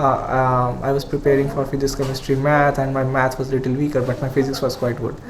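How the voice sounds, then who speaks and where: Amid noticeable background noise and audible room echo, a man with a fairly high voice talks at a fairly quick pace. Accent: Indian. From India. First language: Hindi. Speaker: engineering graduate student. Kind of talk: podcast interview. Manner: hesitant, many fillers.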